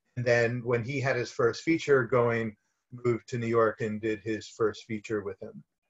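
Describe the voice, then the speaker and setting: A man speaks with an American accent in a somewhat breathy voice and fairly even intonation, over a quiet background. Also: moderate pace. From US, Miami. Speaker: film producer; guest. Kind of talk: casual interview. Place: home room. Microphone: webcam.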